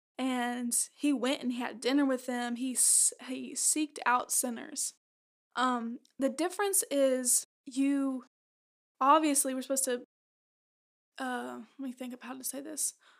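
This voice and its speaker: A woman's high-pitched voice comes through with long, frequent pauses. The recording is very clean, its background silent. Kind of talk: casual faith discussion. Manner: fast; animated.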